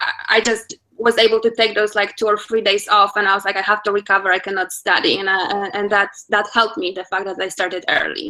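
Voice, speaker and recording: Very fast and flat in a monotone, a woman with a Polish accent speaks in a bright, sharp tone. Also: medium pitch for a woman. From Poland. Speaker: attorney. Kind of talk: interview.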